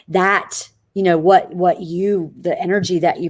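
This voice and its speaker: A woman with a Southern US accent. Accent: Southern drawl. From Florida, small town. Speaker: network marketing entrepreneur. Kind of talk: interview. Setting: live video stream. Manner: animated.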